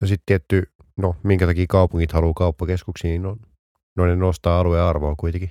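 Over a silent background in a very clean, dry, close recording with no echo, a man with a very deep, low pitch and a dark, mellow tone speaks at a fairly quick pace in monotone, flat intonation. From Finland, Vantaa. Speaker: podcast co-host. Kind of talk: casual chat. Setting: studio.

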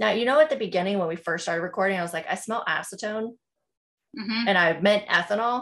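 In an American accent, a medium-pitched woman talks at a very fast pace. Her tone is bright and sharp, with ordinary pitch variation. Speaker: podcast host. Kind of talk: casual chat.

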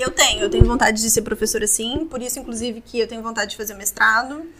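A woman with a fairly high pitch at a fairly quick pace, over noticeable background noise. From Vitória, Espírito Santo, Brazil. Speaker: oral surgery resident. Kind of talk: interview.

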